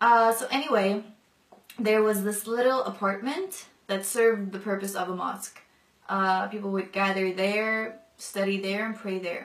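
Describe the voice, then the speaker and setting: A woman's medium-pitched voice at a moderate pace, with fairly even intonation. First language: non-English mother tongue. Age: 20s. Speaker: convert sharing her story. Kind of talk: testimony. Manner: casual with many fillers.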